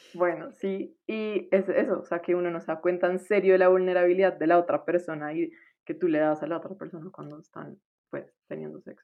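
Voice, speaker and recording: The speech runs at a fairly quick pace with fairly even intonation. Loudness swings widely throughout. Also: woman. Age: 20s. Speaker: medical student. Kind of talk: casual chat.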